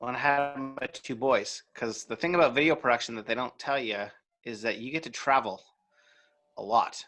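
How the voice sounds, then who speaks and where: Over music in the background, a man with a Canadian accent talks at a moderate pace in a medium pitch with ordinary pitch variation. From Canada. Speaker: video marketing coach. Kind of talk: interview.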